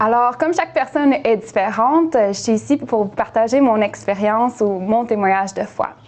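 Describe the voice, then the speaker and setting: With hardly any pauses and very even loudness, a woman speaks at a moderate pace in a fairly high voice with ordinary pitch variation. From Quebec, Montreal. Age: 30s. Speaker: nurse. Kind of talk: testimony. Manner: halting, many hesitations.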